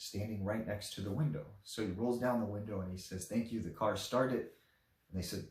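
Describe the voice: The speaker reads aloud plainly, and the pitch varies in an ordinary way.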